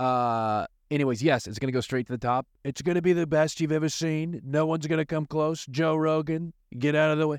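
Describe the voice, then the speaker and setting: A man with a plain, everyday voice, fairly high in pitch, at a fairly quick pace with fairly even intonation, in a dry, close sound with no echo against a quiet background. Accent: American. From US. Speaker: attorney. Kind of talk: podcast intro.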